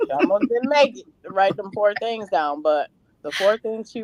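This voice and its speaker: Her tone is animated, at a medium pitch for a woman, with very wide pitch swings. The sound is dry and close, with no echo. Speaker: mother on a panel, parenting class teacher. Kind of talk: casual panel discussion.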